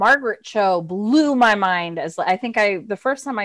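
A woman's plain, everyday voice with an American accent, medium pitch, ordinary pitch variation and a fairly slow pace, on a very clean recording with a silent background. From Florida, US. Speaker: actress and writer. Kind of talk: interview.

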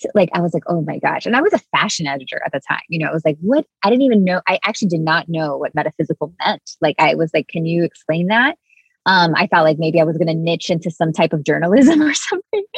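A woman with an American accent talks at a very fast pace with hardly any pauses, her fairly low, somewhat breathy voice showing ordinary pitch variation in a dry, close sound with no echo. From Miami, Cuban American family. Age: 30s. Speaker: spiritual mentor and author. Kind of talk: casual interview chat.

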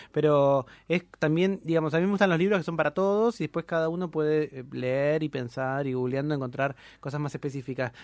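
In a very clean recording with a silent background, a man with an unremarkable speaking voice and a fairly high pitch talks at a fairly quick pace with ordinary pitch variation. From Argentina, Campana (Buenos Aires province). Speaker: philosophy podcaster. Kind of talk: casual chat.

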